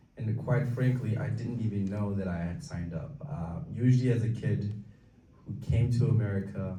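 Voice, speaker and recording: Against noticeable background noise and audible room echo, a man speaks at a medium pitch and moderate pace with ordinary pitch variation. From Tibetan community, raised in Minnesota from age 9. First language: Tibetan. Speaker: community speaker. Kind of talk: talk to an audience. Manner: halting, many fillers.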